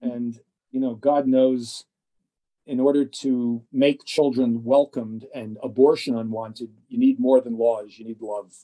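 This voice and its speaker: A man with an American accent has a dark, mellow tone and monotone, flat intonation, with big swings in loudness. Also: medium pitch for a man, fairly slow pace. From US Northeast, northern New Jersey. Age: 60s. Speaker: gynecologist. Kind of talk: interview. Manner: halting with many fillers.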